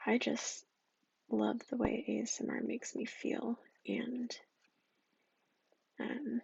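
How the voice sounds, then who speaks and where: A soft-spoken whisper at a very slow pace. Long, frequent pauses break up the speech. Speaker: ASMR creator. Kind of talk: ASMR soft-spoken rambling. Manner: whispered and soft-spoken.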